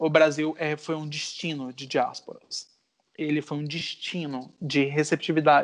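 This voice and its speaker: At a fairly slow pace, a man speaks at a fairly high pitch in an unremarkable speaking voice. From Brazil, Goiânia and Natal. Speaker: poet and visual artist. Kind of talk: interview conversation.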